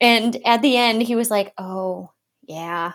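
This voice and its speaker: Woman with an Upper Midwest accent, fairly high pitch and ordinary pitch variation. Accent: Upper Midwest American. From Wisconsin. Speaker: marketing firm owner. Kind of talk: casual chat.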